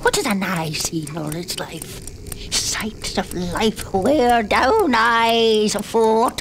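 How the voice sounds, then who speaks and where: A very slow pace and a fairly high pitch over clear background noise. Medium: audio drama. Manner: whimsical, singsong, fretful.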